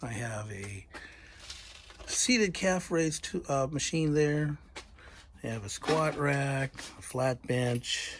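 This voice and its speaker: With long, frequent pauses, a man talks at a very slow pace, his fairly high pitch carried by lively intonation. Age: 60s. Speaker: woodworker and firewood maker. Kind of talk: casual shop tour. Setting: home workshop.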